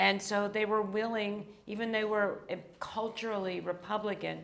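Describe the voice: A woman's raspy voice with vocal fry, medium pitch, a fairly bright tone, fairly even intonation, a moderate pace, and audible room echo.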